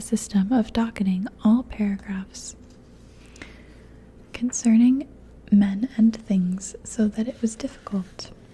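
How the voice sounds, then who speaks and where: Soft-spoken delivery marks this voice. Its pace is fairly slow. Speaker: ASMR audiobook reader. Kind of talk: ASMR story reading.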